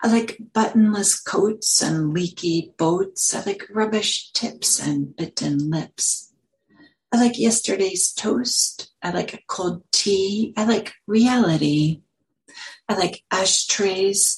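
A woman's medium-pitched, somewhat breathy voice with a playful tone, ordinary pitch variation and a very slow pace. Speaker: meditation teacher. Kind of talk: poem performed, reading aloud a playful list poem in a light, sing-song, rhythmic cadence. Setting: Buddhist meditation center, talk to a live audience. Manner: playful, rhythmic, with lilting emphasis and pauses between the rhyming lines.

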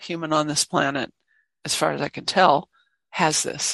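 A woman's plain, everyday voice, fairly low in pitch and at a moderate pace, with a quiet background and a dry, close sound with no echo. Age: 60s. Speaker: meditation teacher. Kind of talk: dharma talk. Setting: meditation hall with online audience.

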